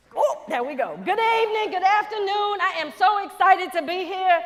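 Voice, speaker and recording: The speaker has a Louisiana accent and an animated tone. Intonation is lively and the pace moderate. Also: woman. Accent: Southern US (Louisiana). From Louisiana, US South. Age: 50s. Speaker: NASA quality engineer, plenary speaker. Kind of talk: conference keynote talk. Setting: stage with audience.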